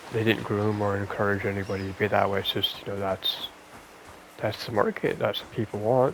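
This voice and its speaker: A soft-spoken voice comes through at a moderate pace over noticeable background noise. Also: man. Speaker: gaming ASMR creator. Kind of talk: casual gameplay commentary. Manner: halting, many fillers and repeats.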